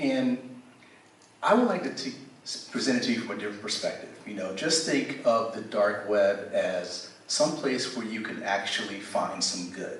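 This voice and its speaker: A man of medium pitch talks at a moderate pace with lively intonation. Audible room echo and noticeable background noise surround him. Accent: American. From United States. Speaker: cybersecurity evangelist, panelist. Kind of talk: panel discussion.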